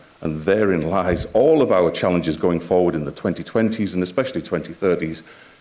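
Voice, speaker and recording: Speaking fairly quickly in a Yorkshire accent, a man has a very deep, low voice with ordinary pitch variation. Audible room echo and noticeable background noise fill the recording. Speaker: health IT executive and physician. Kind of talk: conference talk. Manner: hesitant, with frequent filler words.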